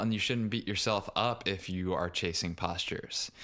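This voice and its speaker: A man with an American accent and an unremarkable speaking voice talks at a moderate pace with ordinary pitch variation, in a very clean recording with a silent background. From US South, Richmond, Virginia. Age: 20s. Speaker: yoga teacher and podcaster. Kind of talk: casual interview.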